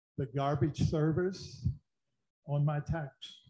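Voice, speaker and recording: Somewhat breathy and dark, with a mellow tone, the voice keeps a fairly even intonation. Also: man. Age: 80s+. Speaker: retired mental health director, public commenter. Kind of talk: public comment. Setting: city council meeting.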